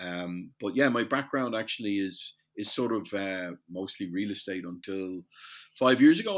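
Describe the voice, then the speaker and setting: In an Irish accent, a man with a fairly low pitch talks at a moderate pace with ordinary pitch variation, on a very clean recording with a silent background. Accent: Irish, compared to Newfoundland. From Ireland, Dublin. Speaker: metals industry supplier. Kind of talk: podcast interview. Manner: hesitant, self-correcting.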